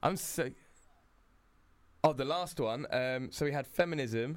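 Speaking at a fairly slow pace, a man keeps a medium pitch with ordinary pitch variation.

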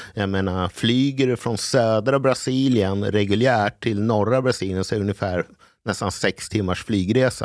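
A man has an ordinary speaking voice, fairly low in pitch, at a moderate pace. The recording is very clean with a silent background. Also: fairly even intonation. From Sweden, partly raised in Brazil. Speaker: sommelier. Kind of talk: casual chat.

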